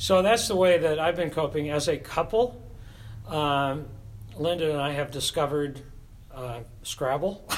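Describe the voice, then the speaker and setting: At a moderate pace, a speaker with a Pacific Northwest accent talks with long, frequent pauses. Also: man, fairly high pitch for a man, ordinary pitch variation. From US Pacific Northwest (Tacoma, Washington). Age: 70s. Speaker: church choir director. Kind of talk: casual interview.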